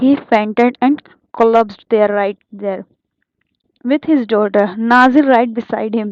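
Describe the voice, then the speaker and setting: In an Indian accent, a woman speaks at a fairly high pitch with fairly even intonation. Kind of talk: audiobook reading.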